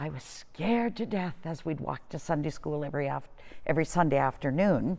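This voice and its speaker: A woman's very deep, low voice with vocal fry and a Canadian accent, at a moderate pace, on a very clean recording with a silent background. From Lindsay, Ontario, Canada. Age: 70s. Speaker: church member recalling memories. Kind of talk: oral history interview.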